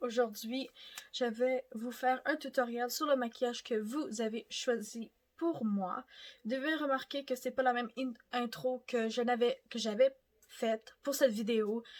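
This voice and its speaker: A woman with a high pitch talks at a fairly slow pace and shows ordinary pitch variation. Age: 20s. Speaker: beauty youtuber. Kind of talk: makeup tutorial. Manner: casual, chatty.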